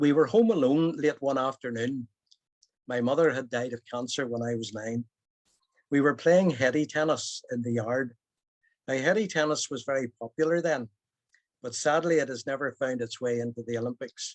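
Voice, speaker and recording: Speaking in a Belfast accent, a man talks at a moderate pace and medium pitch with ordinary pitch variation. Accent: Belfast Northern Irish. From Northern Ireland, Belfast. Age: 70s. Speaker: storyteller. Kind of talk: personal storytelling.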